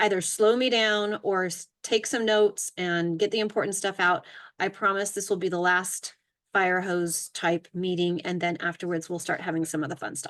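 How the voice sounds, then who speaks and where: Against a quiet background, a woman of medium pitch talks at a fairly quick pace with ordinary pitch variation. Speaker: youth media workshop leader. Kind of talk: workshop presentation. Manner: fast.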